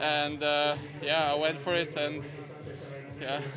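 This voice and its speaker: A man's bright, sharp, flat monotone over noticeable background noise. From Switzerland. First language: German. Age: 20s. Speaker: professional cyclist, stage winner. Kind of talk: post-race interview. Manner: hesitant, halting, sincere. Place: street. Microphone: handheld.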